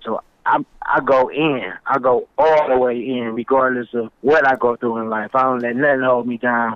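With an American accent, a man speaks in a normal speaking voice at medium pitch, moderate pace and fairly even intonation. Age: 40s. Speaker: rapper. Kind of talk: interview.

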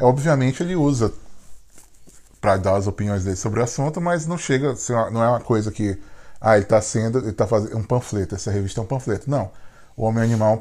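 On a very clean recording with a silent background, a man with a dark, mellow, somewhat breathy tone talks at a very fast pace between long, frequent pauses, with ordinary pitch variation. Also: medium pitch for a man. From Brazil. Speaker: podcast co-host. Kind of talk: casual chat.

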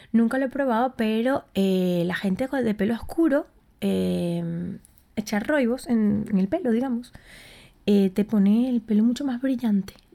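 A woman speaks at a fairly high pitch with a dark, mellow tone and ordinary pitch variation. Her pace is fairly slow, on a very clean recording with a silent background. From Venezuela, Puerto La Cruz. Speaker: podcast host, recipe creator. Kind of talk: casual solo podcast monologue.

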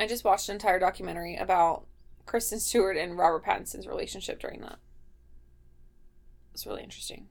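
A woman with a Midwestern accent at a very fast pace, with big swings in loudness and long, frequent pauses. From Ohio, Midwest. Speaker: podcast co-host.

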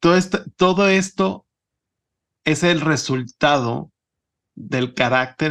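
In a plain, everyday voice, a man talks at a fairly slow pace with ordinary pitch variation over a quiet background. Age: 30s. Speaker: podcast host. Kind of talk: interview.

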